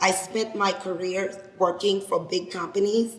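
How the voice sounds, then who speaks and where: Talking with a Haitian accent at a medium pitch, a woman keeps a moderate pace and monotone, flat intonation against noticeable background noise. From Haiti, Cap-Haitien. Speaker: lawyer and business founder. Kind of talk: speech to an audience. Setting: event with live audience.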